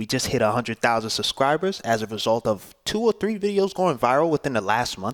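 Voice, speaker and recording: In a New York accent, a man speaks at a medium pitch with very wide pitch swings. The sound is dry and close, with no echo. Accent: New York City English. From Brooklyn, New York. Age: 20s. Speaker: YouTuber. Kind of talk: casual vlog talk to camera. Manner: casual, with fillers and repetitions.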